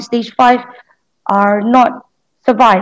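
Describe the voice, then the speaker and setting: A woman with a Malaysian accent speaks fairly slowly in a high voice. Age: 30s. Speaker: COVID survivor, customer service officer. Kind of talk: interview.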